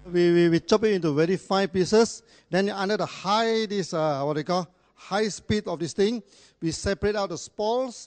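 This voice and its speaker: Recorded dry and close with no echo over a quiet background, a man speaks at a high pitch with ordinary pitch variation. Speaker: company founder giving a talk. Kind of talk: business presentation to audience with interpreter. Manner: fast; repetitive, stammering restarts.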